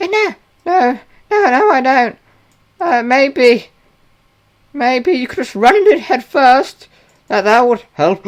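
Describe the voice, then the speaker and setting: A put-on character voice, high in pitch and fairly slow, with long, frequent pauses. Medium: actual play. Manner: stammering, hesitant.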